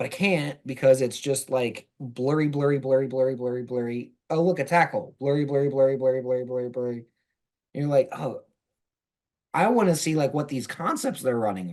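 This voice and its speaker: With an American accent, a man speaks at a medium pitch and a fairly quick pace, showing ordinary pitch variation in an unremarkable speaking voice. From US South. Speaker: football blogger. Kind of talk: casual chat.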